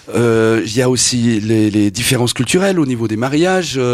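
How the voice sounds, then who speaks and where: Here is a man with an ordinary speaking voice. He talks fairly slowly with lively intonation. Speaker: radio interviewer. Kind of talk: radio interview.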